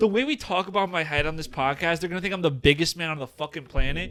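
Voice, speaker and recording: A man speaks in a raised, projected voice with a bright, sharp tone, lively intonation and an animated tone, in a very clean recording with a silent background. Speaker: podcast co-host. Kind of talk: casual chat. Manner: stutter.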